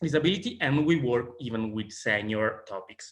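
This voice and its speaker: Using ordinary pitch variation, a man speaks at a fairly slow pace and medium pitch. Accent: Italian. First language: Italian. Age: 30s. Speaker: sociologist and advocacy organization president. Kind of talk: conference presentation.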